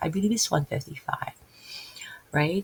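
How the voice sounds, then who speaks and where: In a Filipino accent, a somewhat breathy woman speaks with ordinary pitch variation, the sound dry and close with no echo. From Philippines. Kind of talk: casual religious talk. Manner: halting.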